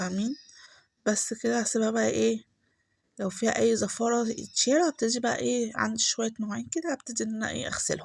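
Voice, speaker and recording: With an Egyptian accent, a soft-spoken woman talks at a moderate pace on a very clean recording with a silent background. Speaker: home vlogger. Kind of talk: voice-over vlog narration. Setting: home, recorded voice-over. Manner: soft-spoken, lowered voice.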